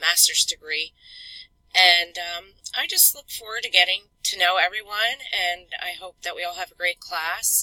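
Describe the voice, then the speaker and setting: A woman speaks at medium pitch with ordinary pitch variation. The sound is dry and close, with no echo. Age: 40s. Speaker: graduate student. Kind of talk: self-introduction video. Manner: hesitant, many fillers.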